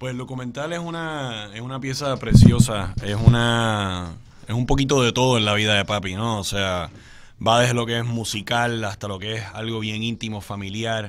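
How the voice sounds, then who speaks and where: Speaking at a moderate pace and medium pitch, a man shows ordinary pitch variation along with big swings in loudness. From Puerto Rico. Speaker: son of a late singer-songwriter; guest. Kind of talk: radio interview. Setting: studio. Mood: warm, reminiscent. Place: studio. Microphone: studio mic.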